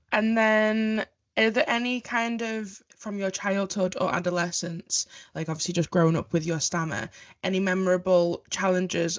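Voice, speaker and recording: A woman's unremarkable speaking voice moves at a moderate speed, its pitch varying in an ordinary way. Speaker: podcast host. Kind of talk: podcast introduction and interview questions. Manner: upbeat.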